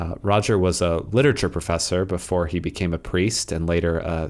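With a very clean recording and a silent background, a man with a very deep, low pitch speaks with fairly even intonation. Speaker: podcast host. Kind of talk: poem reading aloud, devotional. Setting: podcast recording. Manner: slow, measured, reverent; calm, contemplative.

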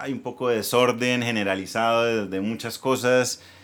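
Monotone and flat in intonation, the voice moves at a moderate pace. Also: man. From Colombia, Bucaramanga (Santander). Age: 40s. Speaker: entrepreneur, former ad agency owner. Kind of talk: casual interview.

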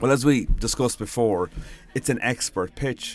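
A man speaks with a Galway accent at a moderate pace. The recording is very clean, with a silent background. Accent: Galway Irish. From Ireland, Galway. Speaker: PR trainer and blogger. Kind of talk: solo audio blog tutorial.

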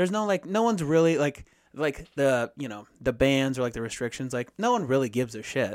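This is a man with an ordinary speaking voice, pitched fairly high. He talks at a fairly quick pace with lively intonation. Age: 30s. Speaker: podcast co-host. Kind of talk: casual chat.

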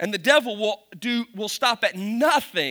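Speaking with a Kentucky accent in a raised, projected voice, a man sounds animated, with a bright, sharp tone and a high pitch. His intonation is lively, and the recording is very clean with a silent background. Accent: Kentucky Southern US, noticeable. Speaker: pastor. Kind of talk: sermon. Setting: church with audience. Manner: humorous, self-deprecating, animated.

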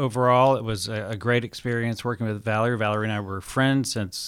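With an unremarkable speaking voice, a man talks fairly quickly at a medium pitch with fairly even intonation, on a very clean recording with a silent background. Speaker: entrepreneur and author. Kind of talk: interview.

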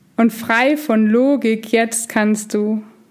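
Speaking in a gentle, soothing tone, a woman keeps her intonation fairly even. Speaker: meditation guide. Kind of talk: guided meditation. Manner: slow, soothing, calm; gentle, hypnotic, repetitive.

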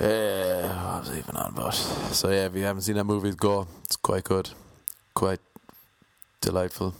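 A man mumbles quietly with an Irish accent, his very deep, low voice moving at a moderate pace. His intonation stays fairly even, broken by long, frequent pauses. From Ireland. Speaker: stand-up comedian. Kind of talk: casual solo monologue. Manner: mumbles, speaks quietly.

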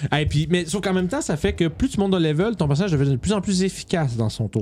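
A man with a Quebec accent speaks very fast in an animated tone at a fairly high pitch, with very wide pitch swings. Noticeable background noise is present. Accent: Québécois French. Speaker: tabletop gaming podcast host. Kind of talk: casual chat.

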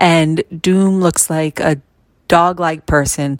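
A woman speaks very slowly in a very deep, low voice with fairly even intonation. The sound is dry and close, with no echo. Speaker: listener. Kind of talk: recorded voice message. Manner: clear.

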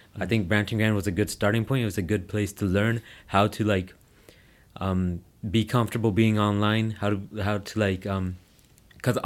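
In a very clean recording with a silent background, a man with a Toronto accent speaks at a moderate pace and fairly low pitch, leaving long, frequent pauses. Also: fairly even intonation. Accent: Canadian English (Toronto area). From Brampton, Ontario, Canada. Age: 20s. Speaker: social media comedian. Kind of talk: casual interview chat.

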